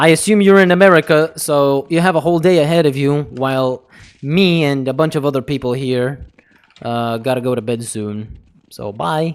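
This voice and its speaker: With a non-native accent, a man talks at a moderate pace in a fairly high voice with ordinary pitch variation. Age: 20s. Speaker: gaming streamer. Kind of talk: live stream chat. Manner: animated.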